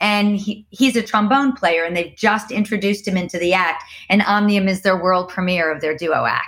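An animated woman's voice at medium pitch and moderate pace, with ordinary pitch variation and hardly any pauses. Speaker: circus founder and performer. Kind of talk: casual interview conversation. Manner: excitable, animated.

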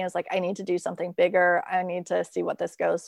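A woman with a General American accent talks fairly quickly in a plain, everyday voice of medium pitch, recorded with a dry, close sound and no echo. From US, moved around (Virginia, Minnesota, Kansas, Idaho). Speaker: creativity coach and blogger. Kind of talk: interview conversation. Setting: remote call from home.

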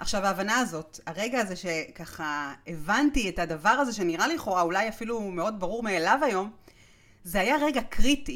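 A woman speaks at a moderate pace and a medium pitch. Her pitch swings very widely. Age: 40s. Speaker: podcast host and author. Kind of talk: solo podcast monologue.

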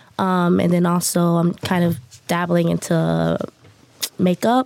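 A woman talks at a fairly slow pace while noticeable background noise sits behind her. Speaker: podcast guest.

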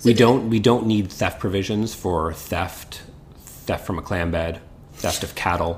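This is a man with a Canadian accent and a plain, everyday voice. He speaks at a moderate pace with a fairly low pitch. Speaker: criminal defence lawyer, podcast host. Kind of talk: casual legal discussion.

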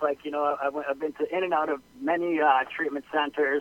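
With a Western Canadian accent, a man speaks in fairly even intonation. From Okanagan, British Columbia, Canada. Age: 30s. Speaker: health and wellness practitioner. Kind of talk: interview. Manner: hesitant, many fillers.

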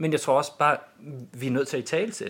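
On a very clean recording with a silent background, a man talks with fairly high pitch. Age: 40s. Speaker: school principal. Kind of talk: interview. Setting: studio.

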